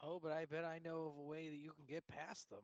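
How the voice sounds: Speaking at a fast pace, a man with fairly high pitch shows little pitch movement, and the sound is dry and close with no echo.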